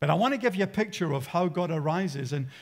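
This man talks at a fairly quick clip with a high pitch and ordinary pitch variation. The background is quiet. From Australia. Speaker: pastor. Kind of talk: sermon. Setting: church. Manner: animated. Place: church. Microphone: headset.

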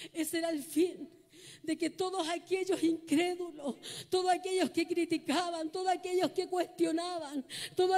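Speaking at a fairly slow pace, a woman with an extremely high pitch has a dark, mellow tone and fairly even intonation. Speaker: preacher. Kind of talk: sermon, preacher in full flow, exhorting the congregation. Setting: church with congregation. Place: church. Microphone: handheld.

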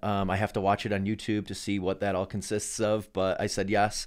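Against a quiet background, a man with a fairly low pitch speaks at a fairly quick pace in a monotone, flat intonation. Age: 40s. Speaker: endurance athlete and entrepreneur. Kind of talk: casual chat. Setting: studio. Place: studio. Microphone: studio mic.

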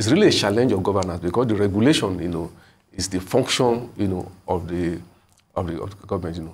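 A man with a Nigerian accent, very deep and low in pitch, somewhat breathy, talking at a very fast pace with ordinary pitch variation. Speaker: newspaper executive and columnist reviewing headlines. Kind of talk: live TV newspaper review discussion. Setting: TV studio. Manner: hesitant, many fillers. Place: studio. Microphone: lapel.

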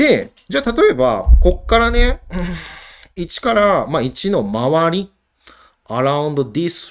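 The man's voice swings very widely in pitch. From Japan. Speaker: university professor. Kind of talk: lecture. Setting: online live-streamed lecture. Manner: casual, filler-heavy.

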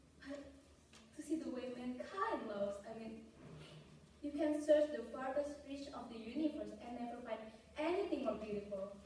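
A woman with a high pitch uses lively intonation and big swings in loudness. Strong room echo and light background noise surround her voice. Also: moderate pace. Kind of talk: audition monologue performance. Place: classroom. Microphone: camera far.

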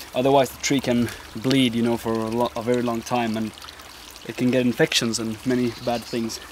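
A man with a non-native accent at a fairly quick pace, the sound dry with no echo and noticeable background noise. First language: not English. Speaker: bushcraft outdoorsman. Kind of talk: casual outdoor tutorial talk to camera. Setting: outdoors. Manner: hesitant, with stuttering and many filler words. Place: forest.

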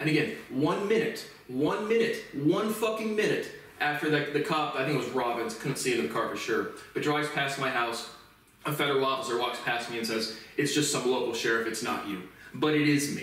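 Talking at a fairly quick speed, a man is heard with audible echo in the room. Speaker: self-taught lecturer. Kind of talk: casual monologue. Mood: frustrated, ranting. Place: home room. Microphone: camera far.

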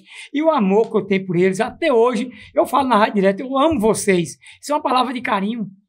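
Speaking very fast, a man uses lively intonation. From Northeast Brazil. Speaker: radio announcer. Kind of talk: interview answer. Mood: warm, affectionate, nostalgic. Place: studio. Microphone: studio mic.

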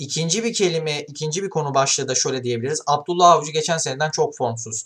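The speech moves at a very fast pace. The background is quiet. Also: man, ordinary pitch variation. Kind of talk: football commentary. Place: home room. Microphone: webcam.

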